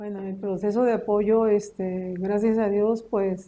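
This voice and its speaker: A dark, mellow tone at a fairly slow pace. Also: woman. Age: 50s. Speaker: homemaker, cancer patient's wife. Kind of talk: interview testimony. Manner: halting, many fillers.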